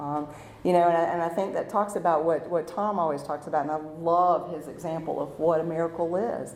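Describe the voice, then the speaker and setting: Audible room echo surrounds a woman speaking with a North Carolina accent, her pitch fairly low and her intonation fairly even. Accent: Southern US (North Carolina). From eastern North Carolina, Rocky Mount area. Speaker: recovering alcoholic speaker. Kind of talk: testimony. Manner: loud.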